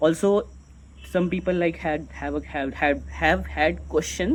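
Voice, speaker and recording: A man speaks over noticeable background noise. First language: not English. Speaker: vlogger. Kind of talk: unscripted monologue. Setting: recording to camera. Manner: halting, self-correcting; slow, deliberate.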